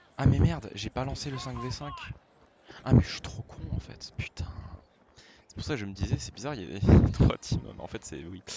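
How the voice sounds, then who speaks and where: Over noticeable background noise, a man with a fairly low pitch talks at a fairly quick pace, his pitch swinging very widely between long, frequent pauses. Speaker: gaming YouTuber. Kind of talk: let's play gameplay commentary. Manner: loud; animated.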